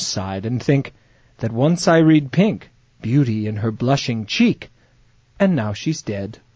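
Somewhat breathy, this speech unfolds at a fairly slow pace. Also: man. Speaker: comedy podcast host and actor. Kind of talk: casual comedic chat with sketches. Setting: studio. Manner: animated.

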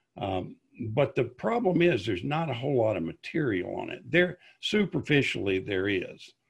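Over a quiet background, a man with vocal fry speaks at a medium pitch and a moderate pace, his pitch swinging very widely. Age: 60s. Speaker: YouTuber on classic television. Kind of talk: interview conversation. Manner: halting, with many repetitions.

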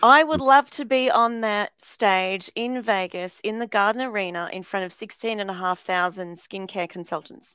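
In a very clean, silent-background recording with a dry, close sound and no echo, a woman with an Australian accent speaks at a moderate pace, hardly pausing, her tone bright and sharp and her pitch variation ordinary. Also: medium pitch for a woman. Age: 50s. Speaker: motivational speaker. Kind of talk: interview.

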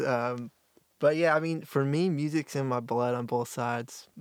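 A normal speaking voice with an American accent moves at a moderate pace with fairly even intonation, in a very clean recording with a silent background. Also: man. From US South, North Carolina (Apex). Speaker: singer-songwriter. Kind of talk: casual interview.

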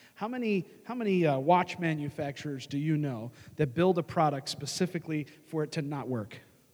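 A man's fairly high-pitched voice, animated in tone, with lively intonation at a fairly quick pace. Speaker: pastor. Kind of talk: sermon. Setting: church.

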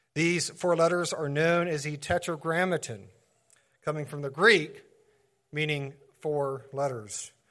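A man speaks at a moderate pace. His voice has a fairly high pitch. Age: 40s. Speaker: pastor. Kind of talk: sermon.

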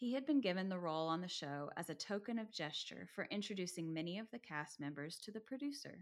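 A woman with an unremarkable speaking voice, fairly low in pitch, with lively intonation. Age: 30s. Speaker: podcast co-host. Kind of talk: casual chat; reading aloud.

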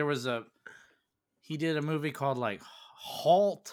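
A man talks at a fairly slow pace with ordinary pitch variation. His fairly high voice is a plain, everyday voice. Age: 30s. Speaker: movie podcast co-host. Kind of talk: casual chat. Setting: Twitch stream.

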